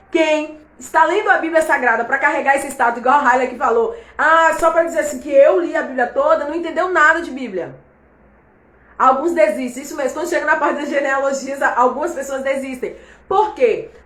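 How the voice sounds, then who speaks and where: In a room with audible echo, a woman speaks at a high pitch and a fairly quick pace in an animated tone. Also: ordinary pitch variation. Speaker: Bible teacher. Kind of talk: online Bible class livestream. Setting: live stream.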